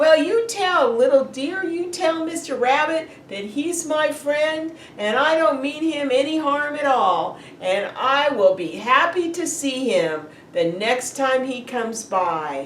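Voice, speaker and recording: A put-on, high-pitched character voice at a fairly slow pace, against clear background noise. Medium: read story.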